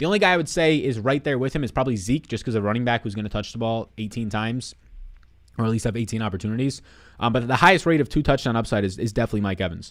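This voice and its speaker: Raspy and very fast, a man puts on a character voice at medium pitch. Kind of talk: excited sports-talk. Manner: talking very fast.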